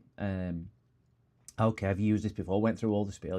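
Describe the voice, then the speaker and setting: Over a quiet background, a man with a northern English accent speaks in a very deep, low pitch, his tone dark and mellow and his intonation monotone and flat. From northern England. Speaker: electronics repair streamer. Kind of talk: casual live stream chat. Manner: rambling, conversational.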